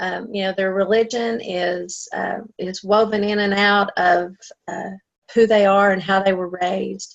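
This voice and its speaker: In an Appalachian accent, a woman speaks fairly slowly at a medium pitch with fairly even intonation. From Appalachia, US. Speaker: novelist and writers conference director. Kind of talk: interview. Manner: hesitant, many fillers.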